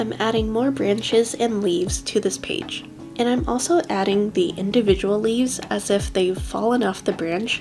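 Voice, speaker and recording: Music plays behind a woman speaking at a moderate pace. Her medium-pitched voice has very wide pitch swings. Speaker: bullet journal creator. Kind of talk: craft tutorial voiceover.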